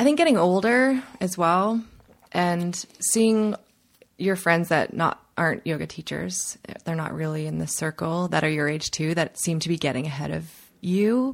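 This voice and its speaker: With a Canadian accent, a woman uses a normal speaking voice at a fairly low pitch, with lively intonation and a moderate pace. The recording is very clean with a silent background. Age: 30s. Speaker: yoga teacher. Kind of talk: interview conversation.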